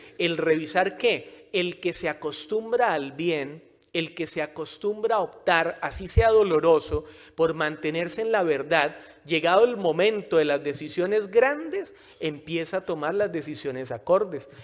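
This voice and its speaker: At a fairly slow pace, a man speaks in an animated tone at a high pitch with ordinary pitch variation. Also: quiet background. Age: 40s. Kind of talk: sermon. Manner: conversational, animated. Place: church. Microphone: podium.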